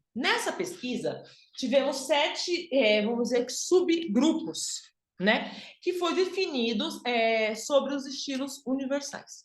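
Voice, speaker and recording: A woman's high-pitched voice with lively intonation at a very slow pace, in audible room echo. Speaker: image and style consultant. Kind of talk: online workshop lecture.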